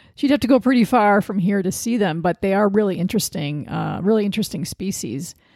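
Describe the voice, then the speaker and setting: Speaking very fast with hardly any pauses, a woman with an American accent uses a dark, mellow tone, medium pitch and lively intonation, on a very clean, dry, close recording with no echo and a silent background. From Sandusky, Ohio, US Midwest. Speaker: podcast host, wildlife photographer. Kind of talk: interview; scripted podcast intro.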